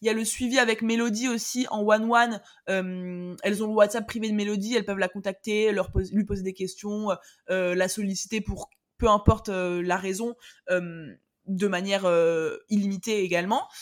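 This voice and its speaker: Recorded very cleanly against a silent background, a woman with a medium pitch speaks at a moderate pace in an energetic tone. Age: 20s. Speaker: online business coach. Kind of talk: casual interview.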